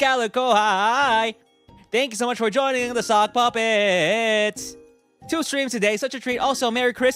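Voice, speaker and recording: In a put-on robotic character voice, the speaker uses a fairly high pitch and a cheerful tone at a moderate pace, with faint music in the background. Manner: cheerful, welcoming.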